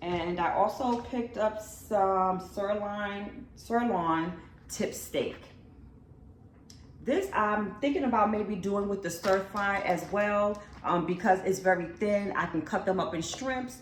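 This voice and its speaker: Woman at medium pitch, very slow pace and ordinary pitch variation, with noticeable background noise. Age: 50s. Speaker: lifestyle vlogger. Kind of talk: casual talk to camera.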